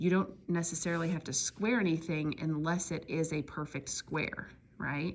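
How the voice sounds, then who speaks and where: A woman speaks at a moderate pace with a very deep, low pitch and vocal fry. Her pitch variation is ordinary. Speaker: math teacher. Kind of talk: tutorial.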